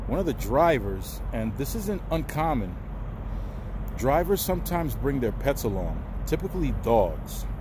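A man talks at a fairly slow pace in a dry sound with no echo, with noticeable background noise behind him. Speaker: truck driver vlogger. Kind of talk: casual vlog chat. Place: street. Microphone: phone near.

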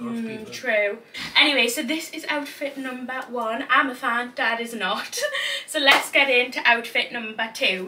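A woman with a Geordie accent speaks at a fairly slow pace in a high voice. Light background noise runs underneath. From Newcastle, North East England. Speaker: fashion vlogger. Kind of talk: casual talk to camera. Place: home room. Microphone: camera far.

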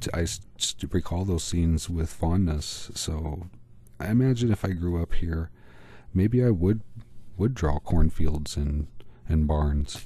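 Somewhat breathy and with an American accent, a man speaks in a very deep, low voice with a dark, mellow tone, at a very slow pace with long, frequent pauses and ordinary pitch variation. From US Midwest. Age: middle-aged. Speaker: art YouTuber. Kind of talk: tutorial vlog narration.

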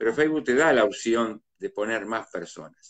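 A man talks at a moderate pace with medium pitch and ordinary pitch variation. The background is quiet. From Uruguay, Mercedes (Soriano); Uruguay. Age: 50s. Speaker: live-stream host. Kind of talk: casual live-stream interview. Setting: video call live stream. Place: home room. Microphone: phone near.

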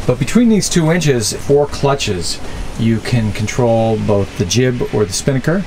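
A man is heard with light noise in the background. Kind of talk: tour commentary. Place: boat.

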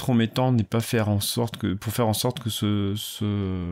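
A man speaks at a moderate pace. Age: 40s. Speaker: PhD student podcaster in musicology. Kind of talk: casual solo monologue. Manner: halting, many fillers and repetitions.

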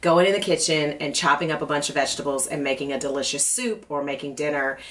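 This is a woman speaking. Her pitch is very deep and low. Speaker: cooking show host. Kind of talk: casual personal chat to camera. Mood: warm, relaxed. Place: studio.

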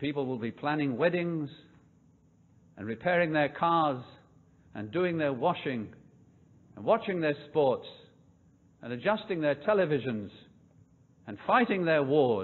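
Long, frequent pauses break up this fairly slow delivery in a British accent, which has lively intonation and big swings in loudness. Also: man, fairly high pitch for a man. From United Kingdom. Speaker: preacher. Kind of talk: sermon. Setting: church.

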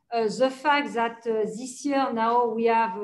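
A woman talks in a fairly high pitch with a French accent. Her intonation is fairly even. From France. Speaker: corporate sustainability executive. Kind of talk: interview. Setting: video call. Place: office. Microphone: video call.

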